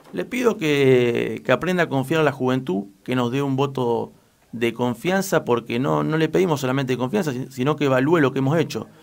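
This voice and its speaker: Speaking in a normal speaking voice, a man keeps a medium pitch, a moderate pace and ordinary pitch variation. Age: 20s. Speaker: local political candidate. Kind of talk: radio interview. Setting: radio studio.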